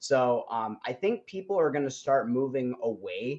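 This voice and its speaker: An animated man with fairly high pitch and lively intonation. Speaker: web3 gaming livestream co-host. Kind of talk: casual live-stream chat. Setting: live stream. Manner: loud.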